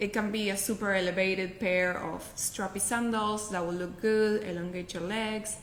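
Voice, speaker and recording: A woman's medium-pitched, monotone voice with flat intonation at a moderate pace, audible room echo and noticeable background noise. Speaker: professional packer. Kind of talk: casual interview.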